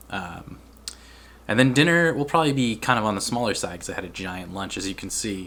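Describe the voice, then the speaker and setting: In a room with audible echo, a man with an American accent talks at a fairly quick pace, his fairly low pitch carrying a bright, sharp tone and big swings in loudness. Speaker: vlogger. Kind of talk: casual vlog talk. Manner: casual, filler-heavy.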